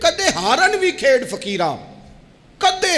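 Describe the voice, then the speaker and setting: A man talks with very wide pitch swings over noticeable background noise. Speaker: Islamic scholar. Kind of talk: religious sermon. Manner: emotional, impassioned.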